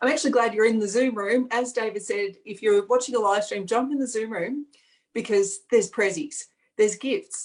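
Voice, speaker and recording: A woman speaks with an Australian accent. Her pitch sits fairly high and varies in an ordinary way. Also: moderate pace. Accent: Australian, natural. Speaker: energy healing facilitator. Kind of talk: online event presentation. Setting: video call.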